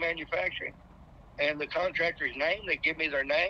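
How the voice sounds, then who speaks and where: A man talks at a moderate pace with an American accent. Noticeable background noise is present. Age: 60s. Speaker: air conditioning technician. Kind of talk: interview.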